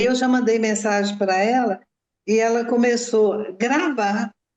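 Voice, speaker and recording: A woman with a plain, everyday voice, fairly high pitch and ordinary pitch variation. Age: 60s. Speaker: mother of a crime victim. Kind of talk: interview testimony.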